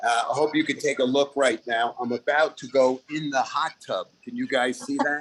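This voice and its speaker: Speaking at a moderate pace with a Brooklyn accent, the man barely pauses at all. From Brooklyn, New York. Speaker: comedian. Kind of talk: stand-up. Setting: video call.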